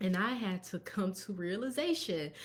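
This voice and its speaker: Her voice is somewhat breathy and medium in pitch, and this woman shows ordinary pitch variation. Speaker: tax professional and bookkeeper. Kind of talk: live stream business talk. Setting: live stream. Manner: fast.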